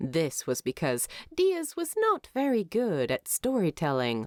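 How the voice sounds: In a very clean recording with a silent background and a dry, close sound with no echo, a woman speaks slowly with very wide pitch swings and a slightly mellow tone.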